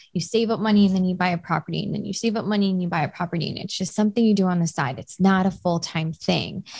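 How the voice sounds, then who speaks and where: Against a quiet background, a woman talks very fast at a medium pitch, somewhat breathy, with fairly even intonation. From Hawaii, Oahu (Kailua). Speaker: real estate investor and mental health counselor. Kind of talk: casual interview chat.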